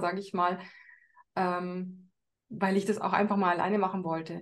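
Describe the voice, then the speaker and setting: A woman is speaking. Her pitch is medium. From Bavaria, Upper Palatinate near Regensburg. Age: 40s. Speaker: course participant, mother. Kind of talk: interview.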